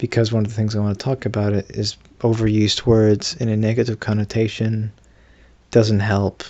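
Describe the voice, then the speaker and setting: A somewhat breathy man's voice, fairly low in pitch and fairly quick in pace. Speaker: vlogger. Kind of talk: casual monologue to camera. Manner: halting, many fillers and restarts; not at full voice, subdued.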